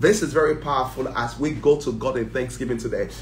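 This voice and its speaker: The tone is animated and the pace moderate. There is audible room echo and light background noise. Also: man. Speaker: church prayer leader. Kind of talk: fervent group prayer. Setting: online livestream. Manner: fervent, intense; animated, praising. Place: home room. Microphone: phone near.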